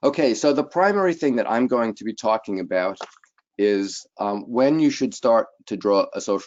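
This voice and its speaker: This man's voice shows ordinary pitch variation. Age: 60s. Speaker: consulting actuary. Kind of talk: webinar presentation. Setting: online webinar. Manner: hesitant, many fillers.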